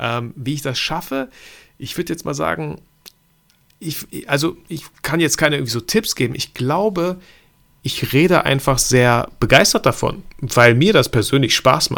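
On a very clean recording with a silent background, a man speaks in a plain, everyday voice. His pitch is fairly high, his pace fairly slow and his intonation lively. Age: 30s. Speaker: photographer and videographer. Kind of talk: casual interview.

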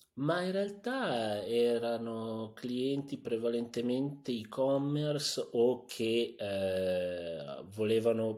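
Pitched fairly low, a man speaks in a dark, mellow tone with ordinary pitch variation. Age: 40s. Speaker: tech entrepreneur. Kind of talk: interview. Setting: studio.

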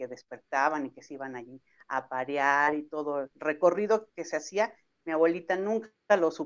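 With ordinary pitch variation, a woman's speech unfolds at a fairly slow pace. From central Mexico. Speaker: travel entrepreneur. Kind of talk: interview.

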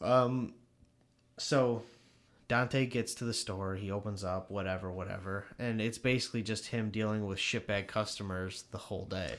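In a very clean recording with a silent background, an ordinary speaking voice talks at a moderate pace with fairly even intonation. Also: man, fairly low pitch for a man. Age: 20s. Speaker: movie podcast co-host. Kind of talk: casual chat.

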